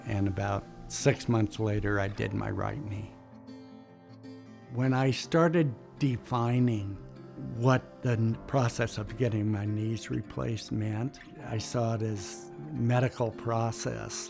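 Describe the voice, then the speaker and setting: Music plays behind a man speaking at a very slow pace. His pitch is medium, with ordinary variation. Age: 70s. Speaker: sled dog musher. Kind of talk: patient testimonial interview answer.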